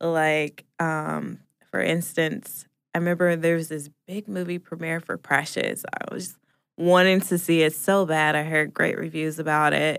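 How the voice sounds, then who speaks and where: A woman with an American accent has an ordinary speaking voice, a fairly low pitch, fairly even intonation and a fairly slow pace, on a very clean recording with a silent background. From US Pacific Northwest (Portland, Oregon). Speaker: podcast producer, guest co-host. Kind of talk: casual chat.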